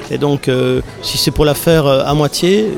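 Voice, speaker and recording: Fairly high in pitch, a man speaks with fairly even intonation. Noticeable background noise is present. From Belgium, Liège area. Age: 50s. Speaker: comic book author. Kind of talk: interview. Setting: festival.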